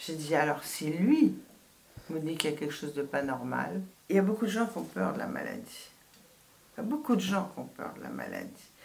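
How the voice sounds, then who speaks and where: Heard through audible room echo, a woman talks at a moderate pace with long, frequent pauses and big swings in loudness. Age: 70s. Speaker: astrologer and author. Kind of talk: radio interview. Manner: hesitant, many false starts.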